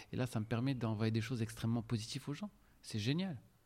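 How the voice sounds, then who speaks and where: A man's medium-pitched voice with ordinary pitch variation, at a fairly quick pace. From Morocco, Casablanca. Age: 40s. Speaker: restaurant entrepreneur. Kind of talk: interview. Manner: hesitant, with filler sounds.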